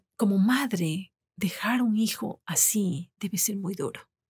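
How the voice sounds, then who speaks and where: A woman speaks with a somewhat breathy voice. The background is quiet. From Ecuador. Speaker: podcast guest. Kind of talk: interview. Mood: personal, reflective. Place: studio. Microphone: studio mic.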